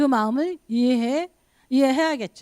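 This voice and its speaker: A woman speaks at a high pitch with very wide pitch swings and an animated tone. The sound is dry and close, with no echo. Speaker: pastor. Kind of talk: sermon.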